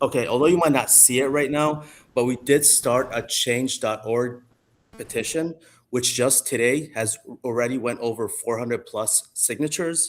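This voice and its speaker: A man with an Arabic accent speaks at a medium pitch and moderate pace. His pitch varies normally, and the recording is very clean with a silent background. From Jordan. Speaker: parent giving public comment. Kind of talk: public comment at school council meeting.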